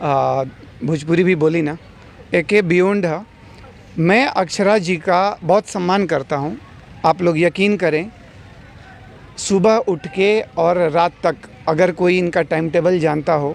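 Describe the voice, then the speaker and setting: The speech has long, frequent pauses, ordinary pitch variation and very even loudness. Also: man, high pitch for a man. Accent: Bihari. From Bihar, Gopalganj. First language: Bhojpuri (speaking Hindi). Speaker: film actor. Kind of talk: interview. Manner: halting, many fillers.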